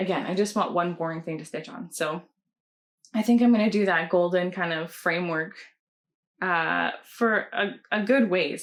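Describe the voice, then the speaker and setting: A woman with a Canadian accent and an unremarkable speaking voice, fairly low in pitch, at a moderate pace with ordinary pitch variation, against a quiet background. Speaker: cross-stitch pattern designer. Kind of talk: casual chat.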